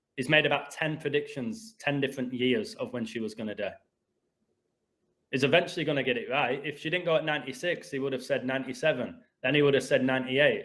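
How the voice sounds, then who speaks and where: Speaking at a very fast pace, a man with an English accent uses a fairly high pitch. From England. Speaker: gematria video host. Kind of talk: heated rant. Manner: animated.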